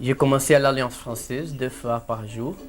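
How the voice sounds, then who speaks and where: A man with a Brazilian accent speaks over music in the background. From Brazil, Fortaleza (Ceará). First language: Portuguese (speaking French). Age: 30s. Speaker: interviewee, family member. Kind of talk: casual home video interview. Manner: halting, hesitant.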